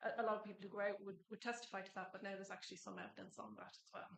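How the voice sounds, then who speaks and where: A woman talks at a medium pitch with fairly even intonation. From Ireland. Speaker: government environment officer. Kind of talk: conference presentation.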